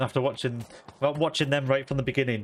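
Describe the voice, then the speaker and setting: Here a man speaks with a Yorkshire accent. His intonation is fairly even. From Yorkshire, northern England. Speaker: video game streamer. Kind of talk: casual live-stream chat while gaming. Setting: live stream.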